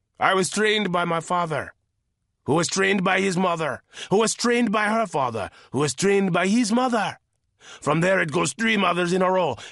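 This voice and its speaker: A man speaks at a moderate pace in a gruff, put-on character voice pitched high for a man. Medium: read story. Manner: gruff, mocking.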